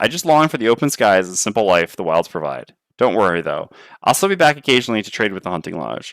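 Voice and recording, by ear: The background is quiet. A person is reading aloud in a natural voice.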